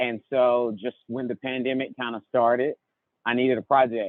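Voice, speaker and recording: A man talks at a moderate pace and medium pitch in an ordinary speaking voice. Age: 20s. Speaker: van-life traveler. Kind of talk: casual chat.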